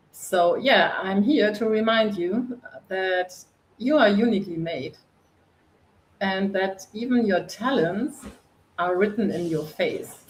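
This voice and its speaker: Speaking very slowly with long, frequent pauses, a woman with a German accent keeps a medium pitch and ordinary pitch variation. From northern Germany. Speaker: coach and author. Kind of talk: interview.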